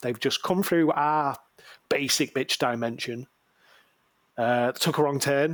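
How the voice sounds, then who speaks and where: A man speaks at a fairly slow pace with a northern English accent, in a very clean recording with a silent background. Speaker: podcast co-host. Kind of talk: casual chat.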